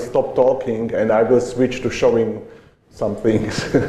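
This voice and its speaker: With a non-native accent, a man talks at a medium pitch and a fairly slow pace, with audible room echo around him. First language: not English. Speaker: conference speaker on education. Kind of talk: conference talk. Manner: halting, with hesitations.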